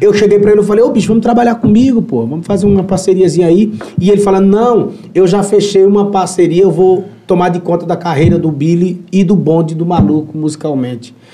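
In a room with audible echo and noticeable background noise, a man talks very fast at a high pitch with ordinary pitch variation. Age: 30s. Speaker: musician. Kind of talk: casual chat.

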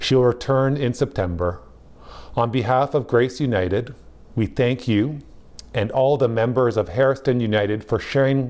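A man talks at a moderate pace in a medium-pitched voice. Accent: Canadian. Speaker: pastor. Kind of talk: sermon.

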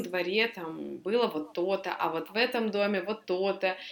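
A woman's normal speaking voice at a moderate pace, with lively intonation. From Tyumen, western Siberia, Russia. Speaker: podcast co-host. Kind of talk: casual chat.

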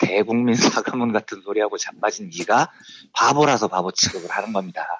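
Here a man talks at a moderate pace and medium pitch with ordinary pitch variation. He has an unremarkable speaking voice. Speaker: economics journalist. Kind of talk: explanatory economics segment.

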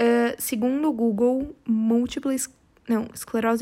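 A woman is speaking. Her pitch is fairly high. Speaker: podcast host. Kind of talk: casual solo monologue. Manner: animated.

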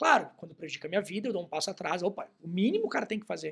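Intonation is lively as this man speaks. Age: 30s. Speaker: journalist and writer. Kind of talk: casual chat.

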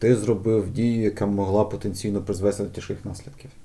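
Fairly low in pitch, a man speaks at a fairly quick pace. His tone is dark and mellow and somewhat breathy. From Ukraine, Kyiv (Borshchahivka). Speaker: game localization organization founder. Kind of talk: casual chat.

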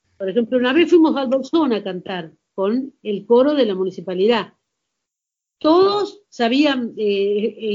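A woman with an Argentine accent speaks at a high pitch and a fairly slow pace. Her voice moves in very wide pitch swings. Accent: Argentine Spanish (rioplatense voseo). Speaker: amateur singer. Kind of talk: casual chat.

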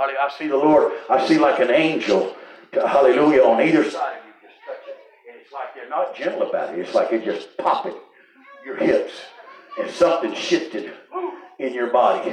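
A man with a Southern US accent sounds animated, talking at a fairly quick pace. Noticeable background noise can be heard. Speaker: revival preacher. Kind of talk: revival sermon. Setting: church with live congregation. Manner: animated, exhortative, call-and-response with frequent hallelujahs; conversational, interjecting, pausing mid-thought.

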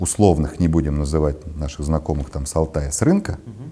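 A man's very deep, low voice. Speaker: former dairy procurement director. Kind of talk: interview.

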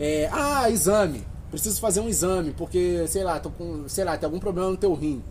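A man's high-pitched, lively voice at a moderate pace, with audible room echo. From Rio de Janeiro, West Zone. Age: 20s. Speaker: photographer and natural products seller. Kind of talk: casual chat.

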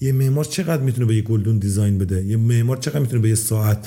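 Noticeable background noise accompanies a man who talks at a very fast pace. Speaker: property investor. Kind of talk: casual chat.

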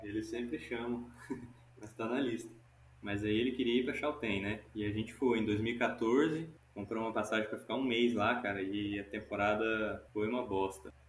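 Delivered at a moderate pace with fairly even intonation, the voice carries audible room echo. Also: man, medium pitch for a man. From Goiás, Brazil. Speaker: climbing instructor. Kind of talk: casual interview. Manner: casual, relaxed.

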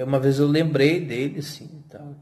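A man speaks in a somewhat breathy voice. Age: 40s. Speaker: podcaster and YouTuber, hospital worker. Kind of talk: casual solo monologue.

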